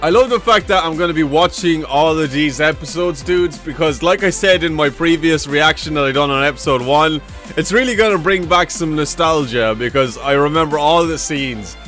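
Over faint music in the background, a man talks at a fairly quick pace in a dry sound with no echo. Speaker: reaction video creator. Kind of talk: casual reaction commentary. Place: home room. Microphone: studio mic.

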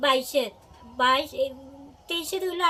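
A woman projects a raised voice with a bright, sharp tone, high pitch and ordinary pitch variation. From Kailashahar, Tripura, India. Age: 50s. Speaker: blind pensioner interviewed about unpaid allowance. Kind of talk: news interview testimony.

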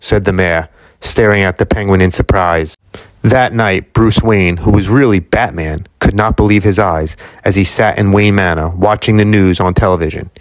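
A man with a plain, everyday voice and a fairly low pitch talks at a moderate pace in a dry sound with no echo. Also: fairly even intonation, very even loudness, quiet background. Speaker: book reader, collector channel host. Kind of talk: children's book read-aloud. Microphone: phone near.

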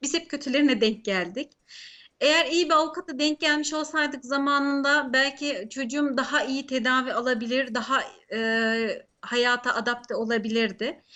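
A woman talks at a high pitch and a moderate pace. Her pitch variation is ordinary. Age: 30s. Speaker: law student and mother. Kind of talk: interview. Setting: remote call into live broadcast.

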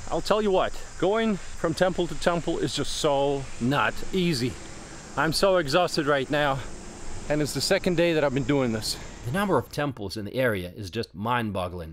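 A man's voice with very wide pitch swings at a moderate pace, dry and echo-free, over light background noise. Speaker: travel vlogger. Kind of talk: casual vlog chat. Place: forest. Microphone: phone near.

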